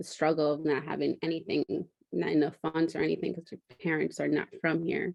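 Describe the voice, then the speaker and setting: A woman with a Spanish accent talks at a fairly quick pace. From United States, Spanish-speaking immigrant family. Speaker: counseling interviewee, health insurance worker. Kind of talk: counseling practice interview. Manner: halting, many false starts.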